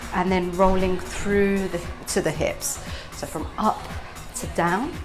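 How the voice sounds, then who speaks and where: A woman's voice with music in the background. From Turkey. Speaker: belly dance teacher. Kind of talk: dance tutorial instruction. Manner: friendly.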